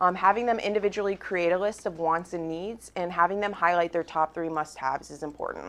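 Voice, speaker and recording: A woman's medium-pitched voice, bright and sharp in tone, over a quiet background. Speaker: real estate agent presenting at team training. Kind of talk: training presentation. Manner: fast.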